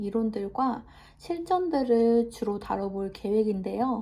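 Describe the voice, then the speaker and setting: Speaking at a very slow pace, a woman has a dark, mellow tone, a fairly high pitch and ordinary pitch variation. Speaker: massage therapist and new YouTuber. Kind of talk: self-introduction vlog. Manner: halting, stumbles over words; many filler 'eo' pauses.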